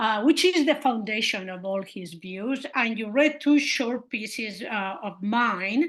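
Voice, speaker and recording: Speaking with a non-native accent, a woman uses a fairly high pitch, a fairly slow pace and lively intonation against a quiet background. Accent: noticeable non-native. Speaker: historian of science, university professor. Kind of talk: seminar lecture. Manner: hesitant, with many fillers.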